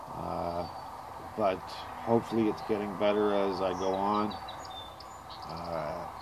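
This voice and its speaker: Over noticeable background noise and audible room echo, a man talks at a fairly slow pace in a monotone, flat delivery, with long, frequent pauses. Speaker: car restoration hobbyist vlogger. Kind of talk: casual video blog. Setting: outdoors. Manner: loud; hesitant, many fillers.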